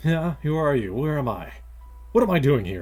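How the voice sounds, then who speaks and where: Over clear background music, a man does a put-on character voice with a fairly high pitch, very wide pitch swings and a moderate pace. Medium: game stream.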